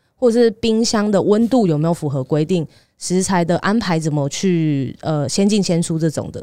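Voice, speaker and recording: A dark, mellow voice speaks at a moderate pace with lively intonation on a very clean recording with a silent background. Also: woman, fairly low pitch for a woman. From Taiwan, Taipei. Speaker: dietitian. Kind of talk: casual chat.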